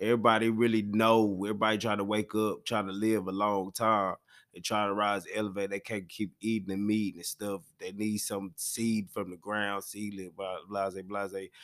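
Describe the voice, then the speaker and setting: In a very clean recording with a silent background, a man with fairly low pitch speaks at a moderate pace in a monotone, flat intonation, his loudness swinging widely. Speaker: monologue speaker answering a prompt. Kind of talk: casual monologue.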